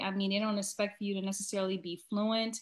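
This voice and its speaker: A somewhat breathy voice with an American accent, on a very clean recording with a silent background. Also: woman. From US. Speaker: American expat living abroad. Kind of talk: interview conversation. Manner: hesitant, many fillers.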